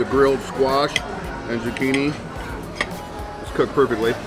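Loud music plays in the background while a man talks at a moderate pace. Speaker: food vlogger. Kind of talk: casual food review chat while eating. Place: cafe. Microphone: phone near.

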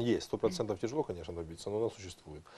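The man's voice has a dark, mellow tone. His words come at a very fast pace. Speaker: international affairs expert and lawyer. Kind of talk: TV interview. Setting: studio. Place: studio. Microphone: lapel.

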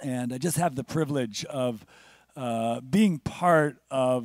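The background is quiet and the sound is dry with no echo. Pitch varies in an ordinary way. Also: man. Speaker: guest pastor. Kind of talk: sermon. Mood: warm, personal introduction. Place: church. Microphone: handheld.

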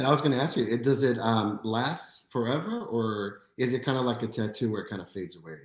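A man talks at a fairly quick pace with hardly any pauses and ordinary pitch variation. The background is quiet, though audible room echo is present. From US Midwest, Chicago. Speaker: podcast host. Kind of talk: casual interview. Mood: friendly, smiling. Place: home room.

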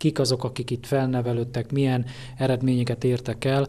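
The man's voice sounds somewhat breathy. His pace stays moderate. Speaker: interviewer, local media. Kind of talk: interview questions.

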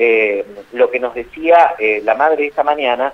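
A man speaks with a Rioplatense accent. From Argentina, Baradero. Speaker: journalist. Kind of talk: phone interview. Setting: phone call. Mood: serious, measured. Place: studio.

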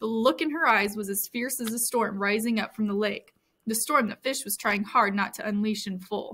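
Plain reading aloud over a quiet background.

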